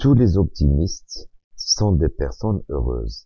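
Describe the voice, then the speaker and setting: Speaking at a fairly slow pace, a man with a dark, mellow, somewhat breathy tone swings very widely in pitch. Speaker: French teacher. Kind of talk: lecture.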